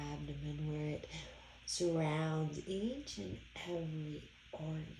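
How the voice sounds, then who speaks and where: Against noticeable background noise, a woman speaks at a fairly slow pace in a soothing, calm tone. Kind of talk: guided meditation. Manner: slow, soothing and calm, with gentle repetition; soft-spoken and unhurried, with long pauses.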